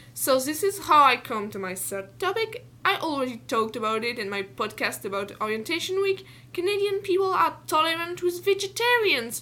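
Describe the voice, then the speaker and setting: A woman speaks in a raised, projected voice with a French accent, her extremely high pitch swinging very widely and hardly pausing at all. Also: moderate pace. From France. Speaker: student podcaster. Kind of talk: personal monologue.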